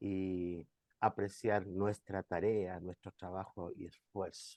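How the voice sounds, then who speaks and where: Soft-spoken and very slow, a man with a dark, mellow tone comes through a dry, close sound with no echo. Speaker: pastor. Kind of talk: online class presentation.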